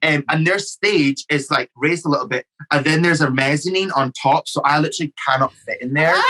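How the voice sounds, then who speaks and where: With a Scottish accent, a man talks at a fairly quick pace, fairly high pitch and fairly even intonation, with hardly any pauses, in a dry, close sound with no echo. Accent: Scottish, others say strong. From Scotland. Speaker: drag queen. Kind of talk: casual chat.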